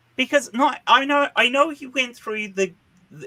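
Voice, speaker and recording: With an Australian accent and a bright, sharp tone, a man talks at a moderate pace on a very clean recording with a silent background and a dry, close sound with no echo. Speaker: panel show host. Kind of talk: heated panel discussion. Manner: animated.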